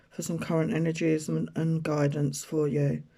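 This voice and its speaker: A fairly slow pace, with an English accent. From rural UK. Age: 60s. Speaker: tarot reader and spiritual healer. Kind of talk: personal storytelling monologue. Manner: casual, hesitant with fillers.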